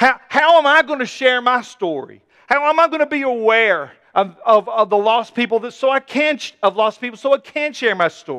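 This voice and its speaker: Projecting a raised voice at an extremely high pitch, a man speaks at a moderate pace in a bright, sharp, animated tone with lively intonation and a dry, close sound with no echo. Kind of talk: sermon. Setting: church. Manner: emphatic, conversational preaching.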